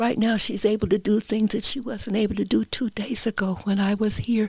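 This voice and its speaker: A woman speaks fairly quickly in a fairly high, somewhat breathy voice. Her intonation is flat and monotone, and her loudness stays very even. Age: 80s+. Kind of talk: interview answer.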